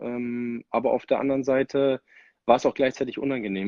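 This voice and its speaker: At a fairly quick pace, a man talks in an unremarkable speaking voice at medium pitch. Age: 30s. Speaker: ice hockey player. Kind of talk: casual interview.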